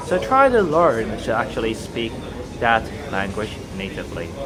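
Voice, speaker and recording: A man talks at a moderate pace. There is noticeable background noise and audible room echo. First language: Chinese (Cantonese or Mandarin). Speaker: language-learning vlogger. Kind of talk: casual monologue. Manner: hesitant, with fillers.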